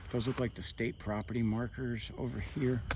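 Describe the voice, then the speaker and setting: Delivery is fairly slow. An American accent marks the speech. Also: man. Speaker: hiking vlogger. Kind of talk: casual vlog narration while hiking. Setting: outdoors at night in the woods. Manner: soft-spoken.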